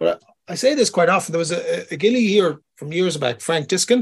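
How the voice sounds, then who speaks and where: With an Irish accent, a man speaks in a somewhat breathy voice with lively intonation. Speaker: podcast co-host and fishing guide. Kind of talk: casual chat. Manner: rambling, many fillers.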